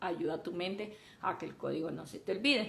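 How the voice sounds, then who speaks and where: Vocal fry in a Colombian coastal accent. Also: woman. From Colombia, Caribbean coast. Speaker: software developer and mentor. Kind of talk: live stream talk.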